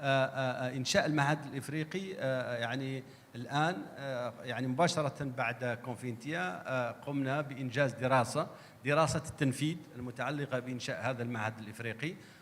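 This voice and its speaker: Using ordinary pitch variation, a man speaks with an Arabic accent. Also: medium pitch for a man, moderate pace. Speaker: government agency director. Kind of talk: panel discussion answer.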